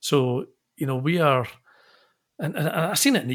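With a Scottish accent, a man speaks in a fairly high, somewhat breathy voice on a very clean recording with a silent background. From Scotland, Glasgow. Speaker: engineering consultancy managing director. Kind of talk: interview.

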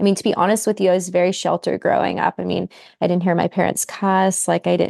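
A woman's fairly quick, medium-pitched voice with an American accent, dry and close with no echo. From West Virginia. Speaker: medical doctor. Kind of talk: casual chat.

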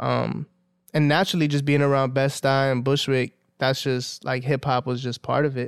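Here a man speaks at a moderate pace and medium pitch, in a New York accent. His intonation is monotone and flat, and the recording is very clean, with a silent background. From Brooklyn, New York, Dominican family. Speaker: hip-hop artist. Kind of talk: casual chat.

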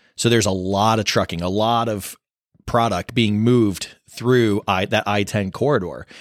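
In a very clean recording with a silent background, a man with a normal speaking voice and fairly low pitch talks at a moderate pace with fairly even intonation. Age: 20s. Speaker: cybersecurity company team member, podcast panelist. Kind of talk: casual chat.

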